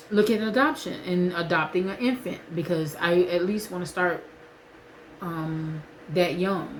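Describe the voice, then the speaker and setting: Against noticeable background noise, a woman talks at a fairly slow pace with ordinary pitch variation. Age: 40s. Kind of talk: casual vlog talk to camera.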